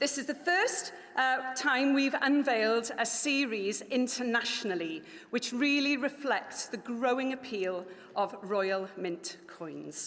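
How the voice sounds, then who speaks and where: A woman speaks very slowly in a high voice with a Welsh accent. Her intonation is lively, and the room echo is audible. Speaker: company director presenting at a launch event. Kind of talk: formal event speech. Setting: stage with live audience in a palace hall. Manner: formal.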